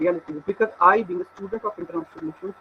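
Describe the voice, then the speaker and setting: A man's high-pitched voice with ordinary pitch variation amid noticeable background noise. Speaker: research scholar. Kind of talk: lecture. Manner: halting. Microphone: weak internet connection.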